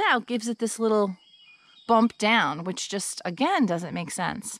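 Recorded with a dry sound and no echo, a woman speaks at a moderate pace. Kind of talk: casual vlog chat. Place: forest. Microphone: phone near.

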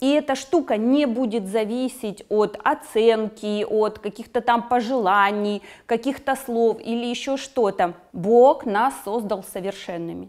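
A woman speaks very slowly in a fairly high voice with ordinary pitch variation against a quiet background. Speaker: psychotherapist. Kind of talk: interview. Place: studio. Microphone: lapel.

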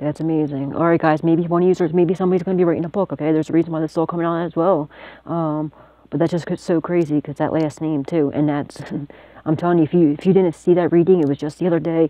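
Over a quiet background, a woman speaks very fast in a flat monotone, with a dry sound and no echo. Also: fairly low pitch for a woman. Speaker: psychic tarot reader and video channel host. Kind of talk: tarot reading monologue to camera. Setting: self-recorded video at home. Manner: casual, profane and laughing often. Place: home room. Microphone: phone near.

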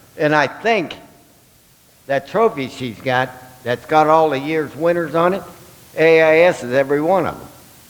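A man with a fairly high voice talks at a moderate pace, with ordinary pitch variation and big swings in loudness. He leaves long, frequent pauses over noticeable background noise. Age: 70s. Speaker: toy drive volunteer. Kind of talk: speech at public meeting. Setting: school board meeting.

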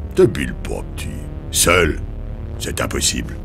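A man in a put-on character voice at a moderate pace, over loud background noise. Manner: sarcastic, weary, dry.

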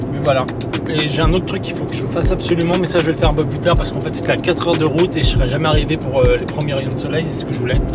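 Over background music, a man talks at a very fast pace. The sound is dry, without echo. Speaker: travel photographer vlogger. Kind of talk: casual vlog chat. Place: car. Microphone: phone near.

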